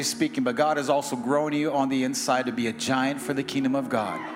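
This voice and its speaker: Over music in the background, a man talks in an animated tone at a fairly quick pace, his fairly high pitch showing ordinary variation. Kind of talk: sermon. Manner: fervent.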